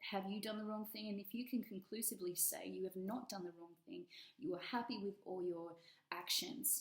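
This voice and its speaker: A woman with a strong Australian accent, medium pitch, ordinary pitch variation and a fairly quick pace. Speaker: tarot reader. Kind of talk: tarot reading. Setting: at home, dining room table.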